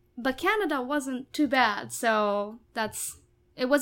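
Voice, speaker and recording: A woman speaks in an animated tone with a Japanese accent and a high pitch, on a very clean recording with a silent background. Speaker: musical theatre actress. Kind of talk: casual interview chat. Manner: animated, talkative, laughs often.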